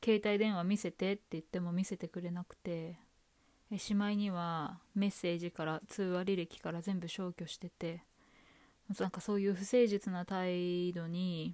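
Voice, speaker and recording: Recorded very cleanly against a silent background, a woman speaks at medium pitch and a moderate pace in a dark, mellow tone with monotone, flat intonation. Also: dry, close sound with no echo. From Japan. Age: 30s. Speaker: podcast host. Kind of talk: personal storytelling monologue.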